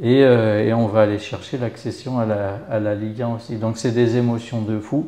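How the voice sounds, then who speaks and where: A man at a medium pitch with fairly even intonation and hardly any pauses, amid audible room echo and noticeable background noise. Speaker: rugby club volunteer and web business owner. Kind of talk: interview. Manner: slow.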